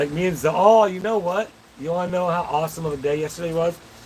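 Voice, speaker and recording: A man speaks at a very fast pace with a high pitch. Noticeable background noise runs behind him. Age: 40s. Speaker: livestreamer reading viewer chat. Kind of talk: casual live-stream chat. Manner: animated.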